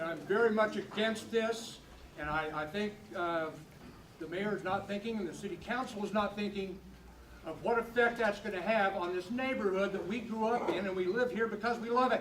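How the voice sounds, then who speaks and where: A man with a high pitch and ordinary pitch variation at a fairly quick pace, with noticeable background noise and audible room echo. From New Mexico, Albuquerque. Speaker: retired accountant, local resident. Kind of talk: public comment. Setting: church hall public meeting.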